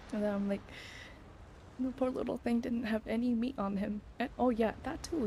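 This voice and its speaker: Ordinary pitch variation shapes a woman's voice at a fairly high pitch. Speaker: streamer. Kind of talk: casual chat. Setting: home bedroom. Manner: loud.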